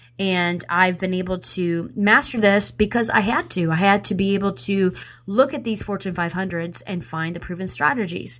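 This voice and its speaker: A woman with an ordinary speaking voice at a medium pitch, ordinary pitch variation, a moderate pace and hardly any pauses. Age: 40s. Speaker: radio host. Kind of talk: motivational talk.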